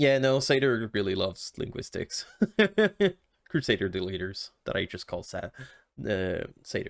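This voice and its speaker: Speaking with a Quebec accent at a medium pitch, a man leaves long, frequent pauses. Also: ordinary pitch variation, moderate pace, dry, close sound with no echo. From Quebec, Canada. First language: French. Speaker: video game streamer. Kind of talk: casual chat with viewers; reading game text aloud.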